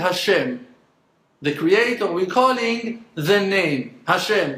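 Audible room echo surrounds a man speaking fairly slowly, with a bright, sharp tone and ordinary pitch variation. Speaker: religious teacher. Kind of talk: lecture. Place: home room. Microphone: phone near.

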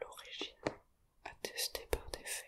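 Very slowly, a man whispers. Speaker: hobbyist tarot learner and ASMR creator. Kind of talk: ASMR whispered tarot explainer. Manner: whispered, relaxing.

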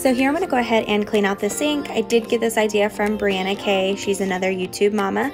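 A woman speaks at a fairly quick pace with ordinary pitch variation. Music plays in the background. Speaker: home cleaning vlogger. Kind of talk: casual vlog voice-over narration.

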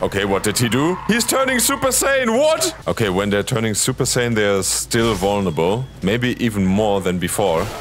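Over noticeable background noise, a man speaks at a moderate pace with very even loudness and hardly any pauses. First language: not English (non-native speaker). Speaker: gaming youtuber. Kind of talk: gameplay commentary. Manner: animated, joking.

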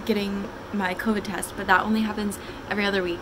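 A woman's voice amid noticeable background noise. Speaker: college student vlogger. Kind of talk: casual vlog chat. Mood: cheerful, relaxed. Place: home room. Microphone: phone near.

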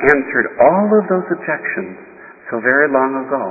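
A man speaks at a moderate pace with very wide swings in pitch over noticeable background noise. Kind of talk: sermon. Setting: church. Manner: formal, earnest, measured pulpit delivery; admonishing, grave about the church's troubles.

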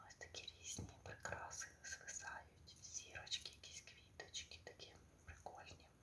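A woman's very slow whispering amid noticeable background noise. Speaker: ASMR creator. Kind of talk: ASMR whisper roleplay, casual talk to a friend. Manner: whispered, soft, intimate.

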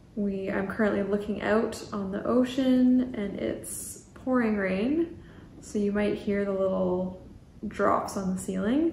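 A woman speaks at a fairly slow pace with ordinary pitch variation. There is audible room echo and light background noise. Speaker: knitting podcaster. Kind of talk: casual vlog chat. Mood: cheerful, excited. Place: home room. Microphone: camera far.

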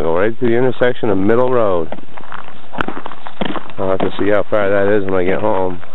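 A man with a fairly low pitch and an ordinary speaking voice shows ordinary pitch variation, with a dry sound with no echo and light background noise. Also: very even loudness. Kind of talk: casual vlog chat. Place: open country. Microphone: phone near.

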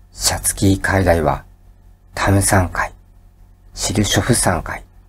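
A man speaks in a very deep, low voice. His tone is calm and his pace fairly slow. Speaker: educational YouTuber. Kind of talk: sleep-inducing educational lecture. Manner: calm, soft-spoken.

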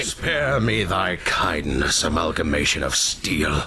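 A man's raspy, put-on character voice, very deep and low in pitch, at a fairly slow pace over clear background noise. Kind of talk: archaic pseudo-Shakespearean speech. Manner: haughty, archaic, curt.

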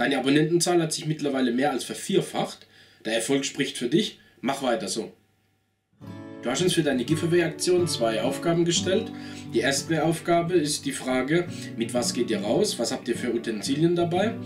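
A man speaks at a moderate pace and a fairly high pitch, with music in the background. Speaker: knife and gear reviewer. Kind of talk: casual talk to camera.

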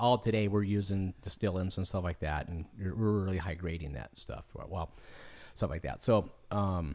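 A man with a very deep, low pitch and ordinary pitch variation, at a moderate pace. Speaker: podcast host. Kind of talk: casual podcast interview. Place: home room. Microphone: studio mic.

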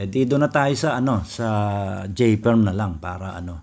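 The delivery is fairly slow, and the pitch varies in an ordinary way. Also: man. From Philippines. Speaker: Rubik's cube tutorial youtuber; cube tutor. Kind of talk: tutorial. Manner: casual, halting with fillers. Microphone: phone near.

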